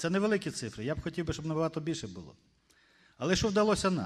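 A man with a fairly high pitch and a slightly husky edge talks at a very fast pace. His voice makes big pitch swings.

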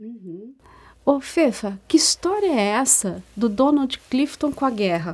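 The speech moves at a very slow pace. Pitch swings very widely, and loudness rises and falls in big swings. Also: woman, high pitch for a woman. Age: 50s. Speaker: co-host and strengths mentor. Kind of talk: informative talk show chat. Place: studio. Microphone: lapel.

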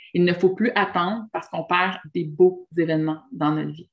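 The speaker keeps a moderate pace and fairly even intonation against a quiet background. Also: woman. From Quebec. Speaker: relationship and spiritual coach; relationship coach. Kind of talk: monologue video talk. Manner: hesitant fillers. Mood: warm, encouraging. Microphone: webcam.

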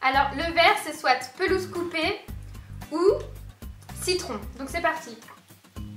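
A woman's extremely high-pitched voice at a fairly slow pace, with ordinary pitch variation, audible room echo and faint music in the background. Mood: playful, laughing. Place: home room. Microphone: camera far.

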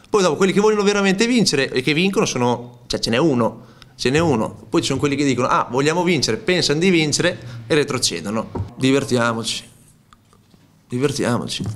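A man's fairly high voice at a very fast pace, with very wide pitch swings, very even loudness, long, frequent pauses and light background noise. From Romagna, Italy (Cesenatico); Romagna, Italy. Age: 30s. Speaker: footballer. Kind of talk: press conference interview. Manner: hesitant, repeats words. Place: meeting room. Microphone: podium.

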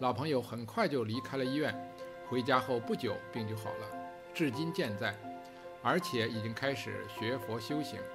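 With music in the background, a man speaks fairly slowly at a medium pitch. His intonation is lively. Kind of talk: religious story narration.

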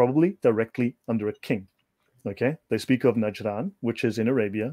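Someone with a South African accent talks at a fairly quick pace with ordinary pitch variation. The background is quiet. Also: man, medium pitch for a man. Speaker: researcher presenting on religious history. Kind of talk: informal lecture in a video chat. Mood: casual, joking. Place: home room. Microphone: video call.

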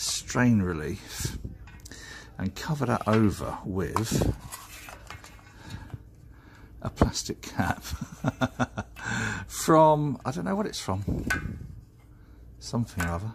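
Noticeable background noise behind a man's very slow speech. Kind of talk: tutorial. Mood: relaxed, lightly jokey. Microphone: phone near.

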